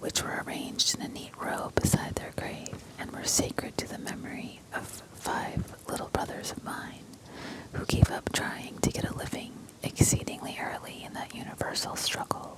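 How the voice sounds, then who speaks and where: Moderately paced whispering by a woman, with noticeable background noise. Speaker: ASMR creator. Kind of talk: whispered audiobook-style reading aloud, ASMR. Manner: whispered, soft, expressive.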